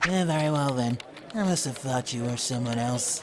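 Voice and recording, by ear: A man puts on a character voice at medium pitch, keeping a moderate pace while clear background noise runs underneath.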